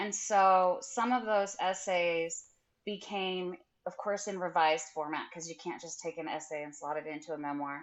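A fairly low-pitched woman with an American accent speaks at a moderate pace, using ordinary pitch variation. Hers is an ordinary speaking voice, with big swings in loudness. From rural Idaho. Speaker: memoirist and English professor. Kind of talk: interview.

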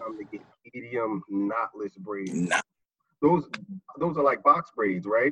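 With an American accent, a man talks at a very slow pace and a medium pitch, using lively intonation and long, frequent pauses. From Newark, New Jersey. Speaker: vice principal. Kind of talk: casual game show chat.

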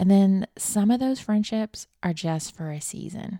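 A woman with a Southern US accent has a dark, mellow tone that is also warm and upbeat, with ordinary pitch variation. The recording is very clean with a silent background and a dry, close sound with no echo. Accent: Southern US, noticeable. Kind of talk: devotional podcast talk, encouraging. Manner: warm, upbeat, animated.

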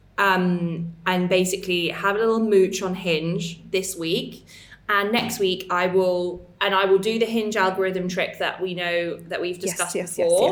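The speaker talks with an English accent in a monotone, flat intonation. The pace is fairly slow, with hardly any pauses. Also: woman, medium pitch for a woman. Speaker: podcast co-host. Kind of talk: casual, chatty.

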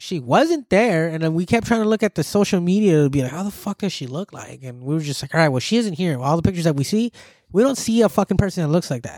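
The man's tone is animated, his intonation lively. He speaks at a very fast pace in a dry, close sound with no echo. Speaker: podcast host. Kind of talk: casual chat. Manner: casual, profane, animated.

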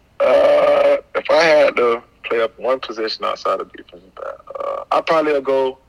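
A man speaks with an American accent at a fairly slow pace, his loudness swinging widely. The sound is dry and close with no echo, though noticeable background noise is present. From South Florida. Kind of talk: interview answers. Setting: phone call.

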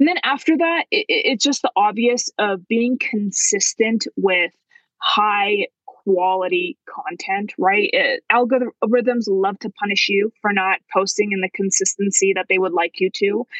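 With a Canadian accent and a normal speaking voice, a woman talks at a fairly slow pace with hardly any pauses, fairly high pitch and lively intonation, in a dry, close sound with no echo. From Canada, Vancouver. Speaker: marketing agency founder. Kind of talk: casual interview.

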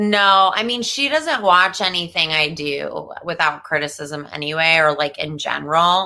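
With a New Jersey accent, a woman speaks in a fairly low pitch and a bright, sharp tone at a fairly slow pace, with hardly any pauses and ordinary pitch variation. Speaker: comedian. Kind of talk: casual chat. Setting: video call.

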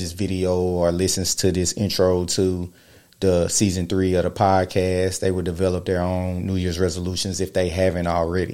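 With a very deep, low pitch and a dark, mellow tone, a man speaks at a moderate pace in a monotone, flat intonation, recorded very cleanly against a silent background. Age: 30s. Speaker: podcast host. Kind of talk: solo monologue podcast. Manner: casual, slightly halting.

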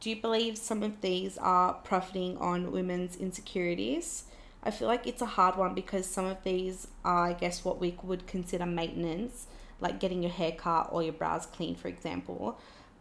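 A woman with an Australian accent at a moderate pace, with ordinary pitch variation. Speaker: podcast host and makeup business owner. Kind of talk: casual chat.

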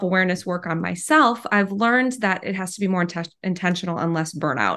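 A woman at a moderate pace with lively intonation, a normal speaking voice. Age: 30s. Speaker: podcast host. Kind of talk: interview.

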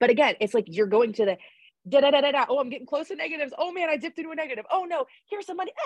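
A woman's animated, high-pitched voice with an American accent, at a very fast pace, with very wide pitch swings and big swings in loudness. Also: dry, close sound with no echo. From US, Pittsburgh area. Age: 30s. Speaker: small business owner. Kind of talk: podcast interview.

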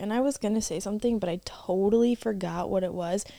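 A woman talks at a fairly quick clip in a medium pitch with ordinary pitch variation and an unremarkable speaking voice. The recording is very clean, with a silent background. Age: young. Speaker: podcast co-host. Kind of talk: casual chat.

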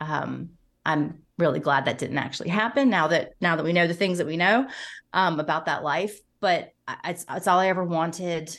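A woman with an unremarkable speaking voice, pitched fairly low, her pitch varying in an ordinary way. She talks at a moderate pace over a quiet background. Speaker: pop culture podcaster. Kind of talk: casual chat.

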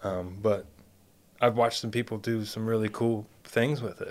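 Delivery comes at a moderate pace with fairly even intonation. It is a plain, everyday voice. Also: man. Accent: American. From US Midwest, Columbus, Ohio. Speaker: chef. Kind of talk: casual interview chat.

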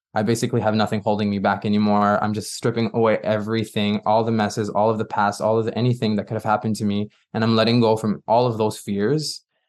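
A man speaks in a Quebec accent at a fairly low pitch. The background is quiet. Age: 20s. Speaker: pop singer-songwriter. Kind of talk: interview.

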